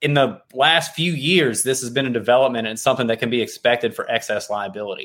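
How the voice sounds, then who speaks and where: A man talks at a very fast pace with hardly any pauses. His pitch is medium. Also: ordinary pitch variation. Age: 30s. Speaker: insurance broker. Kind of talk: casual interview.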